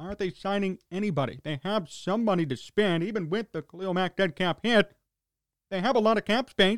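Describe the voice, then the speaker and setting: Speaking fairly quickly with an American accent, a man uses a high pitch and ordinary pitch variation in a very clean recording with a silent background and a dry, close sound with no echo. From Chicago. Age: 20s. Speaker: sports talk radio host. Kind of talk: sports talk monologue. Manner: animated.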